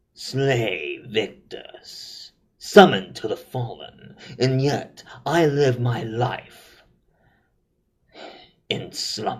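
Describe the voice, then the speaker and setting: In a put-on character voice, the speaker takes a dramatic tone at a very slow pace with long, frequent pauses. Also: man, medium pitch for a man. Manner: dramatic, gravelly villain delivery.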